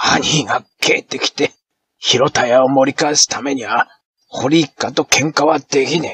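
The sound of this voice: The background is silent apart from an unforced reading voice. Its intonation stays fairly even.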